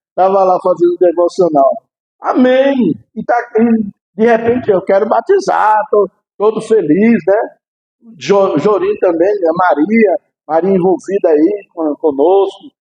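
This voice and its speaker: Pitched high, a man talks at a fairly slow pace. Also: ordinary pitch variation. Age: 60s. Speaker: pastor. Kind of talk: sermon.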